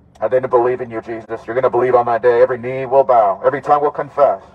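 A man's voice at medium pitch. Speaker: street preacher. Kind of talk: street preaching through a megaphone. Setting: outdoors, outside a clinic. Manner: loud, forceful, fervent. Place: car.

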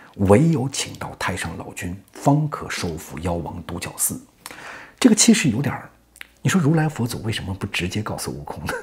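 Delivered fairly slowly, the speech carries very wide pitch swings. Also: man. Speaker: storyteller. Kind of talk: animated storytelling commentary. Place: home room. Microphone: lapel.

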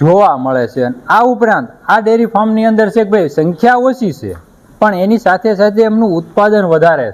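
A man's high voice with lively intonation and big swings in loudness, over noticeable background noise. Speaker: farming channel host interviewing a livestock farmer. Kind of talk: interview on a dairy farm. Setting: on location at a dairy farm.

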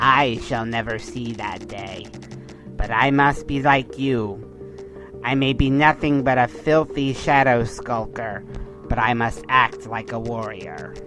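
A put-on character voice at a low-to-middle pitch and fairly slow pace, over clear music in the background. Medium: audio drama.

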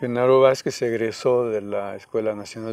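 Fairly slow and flat in intonation, a man speaks in a dry recording with no echo. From Guerrero, Mexico (Coyuca de Benítez); Guerrero, Mexico. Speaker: peasant organizer and rural university founder; interviewee. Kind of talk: interview; interview answer. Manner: halting. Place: garden. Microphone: lapel.

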